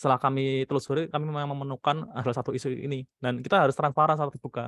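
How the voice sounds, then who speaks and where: The speaker is a man with a fairly high voice. He talks very fast. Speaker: product manager. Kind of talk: online panel discussion. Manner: casual, many fillers.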